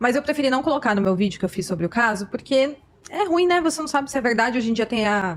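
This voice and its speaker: Speaking at a very fast pace, a woman uses a high pitch with very wide pitch swings. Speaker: YouTuber, commentator on true crime cases. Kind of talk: podcast conversation.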